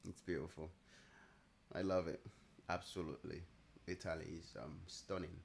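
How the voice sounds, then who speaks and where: At a moderate pace, a man speaks with a very deep, low pitch. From Nigeria. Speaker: day trader streamer. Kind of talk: live trading stream chat.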